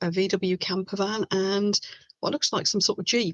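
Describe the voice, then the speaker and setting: In an English Midlands accent, a woman talks at a fairly slow pace, recorded with a dry, close sound and no echo. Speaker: resin crafter and online seller. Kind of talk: live stream chat. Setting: home webcam live stream. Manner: animated.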